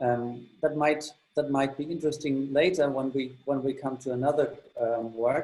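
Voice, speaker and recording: In a German accent, a man speaks at a fairly high pitch. His tone is dark and mellow, with fairly even intonation. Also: moderate pace. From Germany. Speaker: exhibition tour guide. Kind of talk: guided tour. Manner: halting, many fillers.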